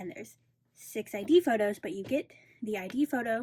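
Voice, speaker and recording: Somewhat breathy and fairly high in pitch, a woman speaks with a dark, mellow tone and lively intonation in a dry, close sound with no echo. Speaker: K-pop album collector and video creator. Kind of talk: casual tutorial. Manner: slower in parts.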